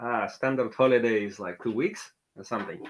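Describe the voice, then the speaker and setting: At a fairly quick pace, a man with a Russian accent speaks at a medium pitch. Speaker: tech working group member. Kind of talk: casual chat.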